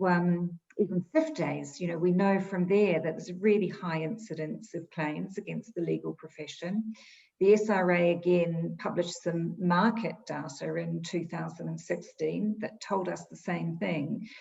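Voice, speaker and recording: A woman with a New Zealand accent, fairly low in pitch, at a moderate pace with hardly any pauses, fairly even intonation and big swings in loudness, over noticeable background noise. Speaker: insurance expert. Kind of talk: interview.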